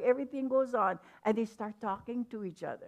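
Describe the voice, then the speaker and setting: A woman speaks with a Hawaiian accent. Her pitch is fairly high and varies in an ordinary way. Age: 70s. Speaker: hula teacher. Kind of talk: panel discussion.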